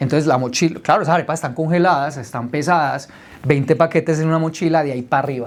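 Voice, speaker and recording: Talking at a very fast pace, this man has a fairly high pitch. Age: 30s. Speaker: entrepreneur telling his life story. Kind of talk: personal testimony told to a group. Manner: animated.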